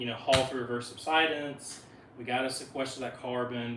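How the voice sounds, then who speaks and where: Audible room echo and noticeable background noise surround a man with a Southern US accent speaking at medium pitch. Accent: Southern drawl. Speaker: wildlife biologist. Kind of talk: presentation talk. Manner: fast; halting, many fillers.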